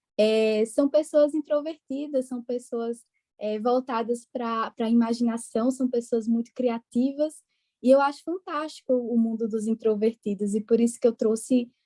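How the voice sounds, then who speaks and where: A woman speaks in a Pernambuco accent at a moderate pace, her pitch high and her tone dark and mellow. The sound is dry and close, with no echo. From Brazil, interior of Pernambuco. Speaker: psychologist. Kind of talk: podcast interview. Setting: podcast recording.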